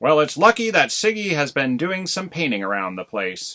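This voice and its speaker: A man performs a put-on character voice at a fairly high pitch. He keeps a moderate pace while his pitch swings very widely. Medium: read story. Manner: laconic, unhurried.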